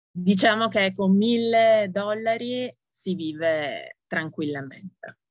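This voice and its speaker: Speaking at a very slow pace, a woman with a medium pitch makes very wide pitch swings. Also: hardly any pauses. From Italy. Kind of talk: interview.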